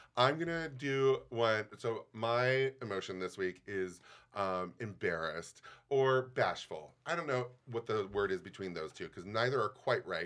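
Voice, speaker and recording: A man with an ordinary speaking voice talks at a fairly slow pace. His medium pitch carries lively intonation. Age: 40s. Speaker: podcast host and casting producer. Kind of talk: casual chat.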